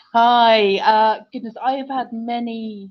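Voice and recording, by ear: Slow and fairly even in intonation, a woman speaks at a fairly high pitch.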